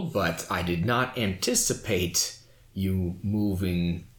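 Using a put-on character voice, a man speaks at a very slow pace. There is audible echo. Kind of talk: comic overacting. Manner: pompous, smooth, long-winded.

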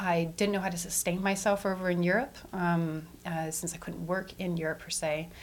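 With a Western Canadian accent, a woman speaks at a fairly low pitch and a moderate pace. Her intonation is fairly even, with hardly any pauses. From Edmonton, Canada. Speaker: community event organizer. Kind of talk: interview.

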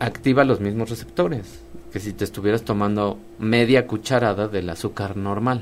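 The pace here is moderate, and the pitch varies in an ordinary way. It is a normal speaking voice. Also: man. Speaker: molecular medicine specialist. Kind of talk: radio interview.

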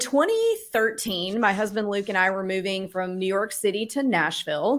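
In a very clean recording with a silent background, a woman with an American accent speaks at a fairly slow pace in an unremarkable speaking voice with ordinary pitch variation. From US South. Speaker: real estate investor. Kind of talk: interview.

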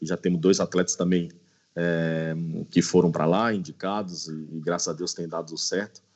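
A man's very deep, low voice carries monotone, flat intonation. He talks at a medium speed. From Brazil, Brasília. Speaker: former pro footballer and player agent. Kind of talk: interview.

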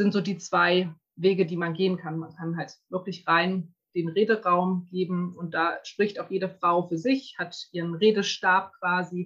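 A woman's fairly low voice moves at a fairly slow pace in a monotone, flat intonation. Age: 30s. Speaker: women's circle facilitator. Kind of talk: interview. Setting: video call.

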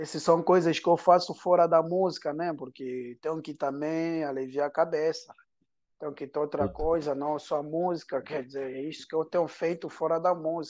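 A man's normal speaking voice, fairly high-pitched, with fairly even intonation, a moderate pace and a quiet background. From Angola. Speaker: singer. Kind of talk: casual interview.

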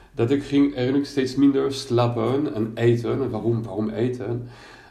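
Audible room echo hangs around the speech. The man's pace is fairly slow. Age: 50s. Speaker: coach for people with bipolar disorder. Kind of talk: personal testimony monologue. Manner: halting, many hesitations and repetitions.

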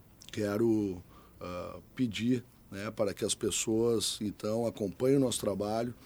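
The tone is dark and mellow, with fairly even intonation. The pace is fairly slow. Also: man, medium pitch for a man. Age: 40s. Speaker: mayoral candidate. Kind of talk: political interview. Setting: radio studio. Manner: hesitant, many filler sounds.

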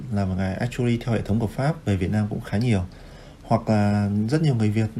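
A man talks at medium pitch and a fairly quick pace. His pitch variation is ordinary. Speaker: actuary. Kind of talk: casual interview.

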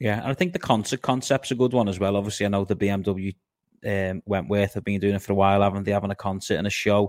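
A man with a Liverpool accent talks at a very fast pace and a fairly low pitch. His intonation is fairly even, and the recording is very clean with a silent background. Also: dry, close sound with no echo. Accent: Scouse. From Liverpool, England. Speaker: podcast host. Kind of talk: casual interview.

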